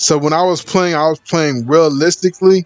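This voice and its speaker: A man speaks with an American accent at a moderate pace. His pitch is fairly high. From California. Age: 40s. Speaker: gaming youtuber. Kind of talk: live stream commentary with chat reading. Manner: casual, hesitant with fillers.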